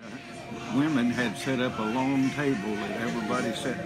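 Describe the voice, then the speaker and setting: Loud music plays behind a man. He speaks at a moderate pace. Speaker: storyteller. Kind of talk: storytelling anecdote. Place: cafe. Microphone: phone near.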